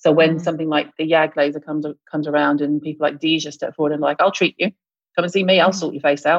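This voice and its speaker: With a British accent, a woman speaks at a very fast pace in a very deep, low pitch and monotone, flat intonation. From US South (Mississippi). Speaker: esthetician and skincare expert. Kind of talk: casual interview.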